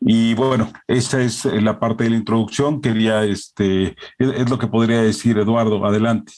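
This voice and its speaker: The speaker has a Mexican accent and a moderate pace. Loudness stays very even, and the intonation is fairly even too. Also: man, medium pitch for a man, hardly any pauses. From Mexico. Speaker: publishing director. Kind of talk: formal remarks at an online presentation. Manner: hesitant, many filler sounds.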